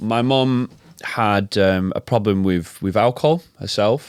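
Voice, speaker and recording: With a slight northern English accent, a man speaks with lively intonation in a very clean, dry, close recording with no echo and a silent background. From northern England, Macclesfield near Manchester. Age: 30s. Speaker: health and fitness coach, former DJ. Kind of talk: interview testimony. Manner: hesitant, many fillers and repetitions.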